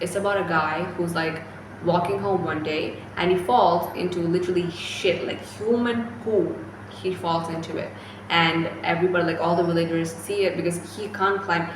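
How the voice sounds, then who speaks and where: A woman with a Keralan accent speaks at a moderate pace and a fairly low pitch with fairly even intonation, over noticeable background noise and audible room echo. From India (Kerala). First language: Malayalam. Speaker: book vlogger. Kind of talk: casual book review vlog. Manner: chatty, many fillers.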